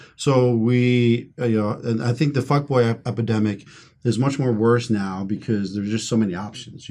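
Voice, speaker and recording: An American-accented man with an unremarkable speaking voice, medium pitch and a moderate pace. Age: 30s. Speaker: podcast host. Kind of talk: casual chat.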